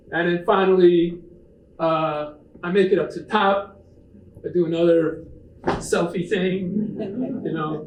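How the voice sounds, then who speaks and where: A man's high-pitched voice at a very slow pace, with long, frequent pauses, fairly even intonation, big swings in loudness and audible room echo. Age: 70s. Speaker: author and backpacker giving a talk. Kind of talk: public presentation with slides. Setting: talk to a live audience. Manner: casual, with many fillers.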